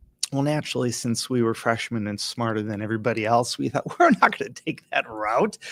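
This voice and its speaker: With an American accent, a man talks at a fairly quick pace and medium pitch. His pitch varies in an ordinary way, and the sound is dry and close with no echo. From Minnesota, Hastings near Saint Paul. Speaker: chiropractor and acupuncturist. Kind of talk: interview, telling a story.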